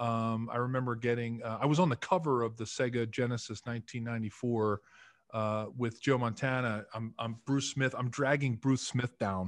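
With an American accent and an ordinary speaking voice, a man talks at a moderate pace and medium pitch, keeping his intonation fairly even. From Philadelphia, US. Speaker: retired football player and podcaster; podcaster. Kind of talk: casual interview. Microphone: video call.

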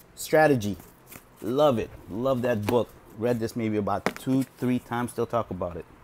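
Against noticeable background noise, a man with a medium pitch speaks at a moderate pace with ordinary pitch variation. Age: 40s. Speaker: video blogger reviewing books. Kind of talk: casual monologue. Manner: hesitant, with many fillers. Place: home room. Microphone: earbuds.

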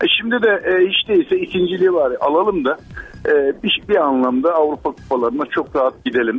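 A man's high-pitched voice at a fairly quick pace, with very wide pitch swings, very even loudness and music in the background. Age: 60s. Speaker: caller, long-haul truck driver. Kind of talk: call-in chat. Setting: phone call.

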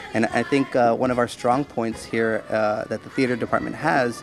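There is noticeable background noise, though the sound is dry with no echo. A man speaks at a moderate pace. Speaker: theater teacher. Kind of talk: interview answer. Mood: warm, enthusiastic. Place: hall.

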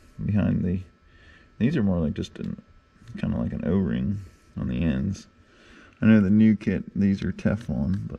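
Using a dark, mellow tone with vocal fry, a man at a fairly low pitch talks at a moderate pace with long, frequent pauses. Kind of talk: tutorial. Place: workshop. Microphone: phone near.

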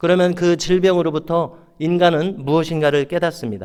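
This man has an unremarkable speaking voice. His delivery moves at a moderate pace. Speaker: pastor. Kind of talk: sermon.

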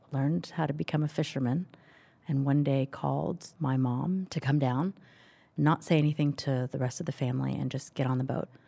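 A woman with an American accent speaks in a very deep, low pitch and a dark, mellow tone. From US South, Knoxville, Tennessee (resettled from Vietnam). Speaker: refugee from Vietnam, conversation participant. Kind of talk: casual conversation between strangers.

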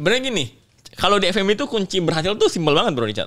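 Very wide pitch swings from a man against a quiet background. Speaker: podcast guest. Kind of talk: interview answer. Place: studio. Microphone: studio mic.

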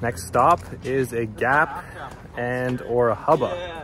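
A man is heard in a dry recording with no echo. Noticeable background noise runs underneath. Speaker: skate vlogger. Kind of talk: casual vlog chat. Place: street. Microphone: phone near.

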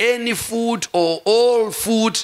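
The voice belongs to a man. Its pitch shifts in a normal, ordinary manner. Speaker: pastor. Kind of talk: sermon. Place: church. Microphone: handheld.

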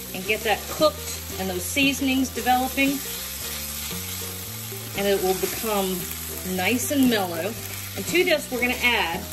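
A woman at a moderate pace with long, frequent pauses, over noticeable background noise. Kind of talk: tutorial. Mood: warm, chatty, laughing. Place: kitchen. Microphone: phone near.

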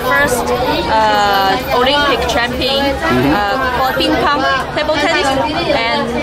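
Crowd noise sits in the background as a woman speaks. She keeps a fairly slow pace with ordinary pitch variation. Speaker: local guide. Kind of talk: casual tour explanation. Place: boat. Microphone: phone near.

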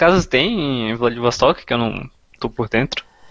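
Against a quiet background, a man talks in a bright, sharp tone with lively intonation. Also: dry sound with no echo. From Brazil. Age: 20s. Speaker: online Russian teacher and student; online Russian teacher. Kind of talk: casual chat. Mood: concerned but relaxed. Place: home room. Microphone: headset.

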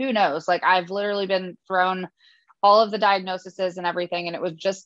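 Music runs in the background. Over it, a woman speaks at a fairly quick pace. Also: dry sound with no echo. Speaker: podcast guest. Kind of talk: interview answer. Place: home room. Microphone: video call.

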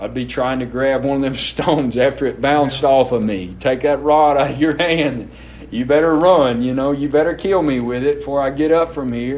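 A man with a Mississippi accent talks at a moderate pace in a fairly high voice with fairly even intonation. Noticeable background noise and audible room echo surround him. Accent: Southern US (Mississippi). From Mississippi, US South. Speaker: pastor. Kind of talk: sermon.

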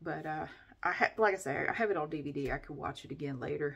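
Fairly quick delivery from a woman. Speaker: vlogger. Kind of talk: casual vlog chat. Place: bathroom. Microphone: phone near.

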